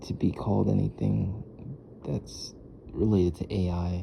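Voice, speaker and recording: Quiet and very deep, a man's voice moves at a moderate pace with very wide pitch swings over noticeable background noise. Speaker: vlogger, customer service worker. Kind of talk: casual vlog monologue. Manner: quiet, low; halting, repetitive.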